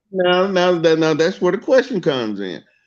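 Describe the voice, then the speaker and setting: An American accent with lively intonation. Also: man. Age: 60s. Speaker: chef. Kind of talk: casual chat.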